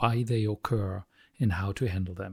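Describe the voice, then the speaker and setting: A man speaks with a non-native accent, somewhat breathy. The sound is dry and close with no echo, on a very clean recording with a silent background. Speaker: emotional coaching founder. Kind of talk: solo talk to camera. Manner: hesitant, many fillers.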